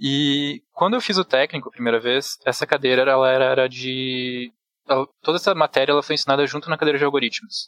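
An unremarkable speaking voice, this man talks fairly quickly at a fairly high pitch with ordinary pitch variation, the sound dry and close with no echo. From Rio Grande do Sul, Brazil (Bento Gonçalves). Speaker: programmer. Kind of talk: casual chat.

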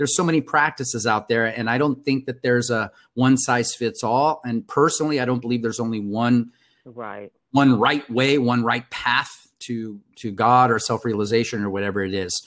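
Delivered at a moderate pace in a Californian accent, the speech has fairly even intonation on a very clean recording with a silent background. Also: man, medium pitch for a man. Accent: Californian American English. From Compton, California. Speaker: communications consultant and coach. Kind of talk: interview.

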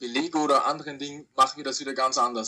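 A man talks at a very fast pace. His fairly high voice has a bright, sharp tone. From Austria. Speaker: online reseller. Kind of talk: interview.

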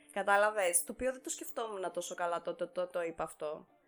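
Background music accompanies a woman as she talks. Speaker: podcast co-host. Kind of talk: casual chat.

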